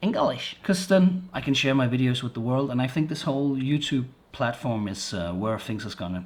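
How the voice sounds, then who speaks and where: A somewhat breathy male voice, fairly high in pitch. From Denmark. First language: Danish. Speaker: vlogger. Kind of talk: product review vlog. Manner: halting, many repetitions and fillers; casual.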